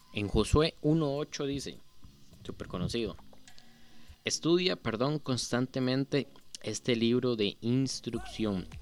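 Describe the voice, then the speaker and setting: A man at medium pitch talks at a very slow pace, with long, frequent pauses. His pitch varies in an ordinary way. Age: 20s. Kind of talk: devotional talk. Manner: casual.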